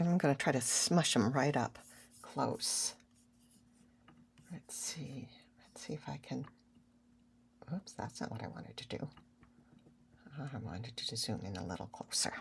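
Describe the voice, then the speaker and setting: Speaking at a moderate pace with long, frequent pauses, a woman uses a very deep, low pitch with vocal fry and very wide pitch swings. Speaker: art tutorial creator. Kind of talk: tutorial. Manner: casual.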